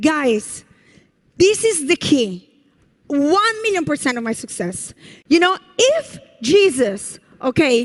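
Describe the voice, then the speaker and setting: A woman talks in an Italian accent with very wide pitch swings and an animated tone. Her pace is fairly slow. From Italy. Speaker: network marketing leader. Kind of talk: motivational speech. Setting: stage with audience.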